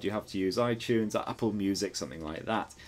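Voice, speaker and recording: Over a silent background in a very clean recording, a man with a northern English accent talks at a very fast pace. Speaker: tech reviewer. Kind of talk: product review. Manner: animated.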